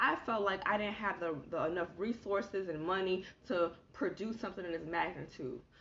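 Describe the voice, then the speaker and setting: A woman's voice amid noticeable background noise. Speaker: motivational speaker and author. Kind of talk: inspirational livestream teaching. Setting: live stream. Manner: fast.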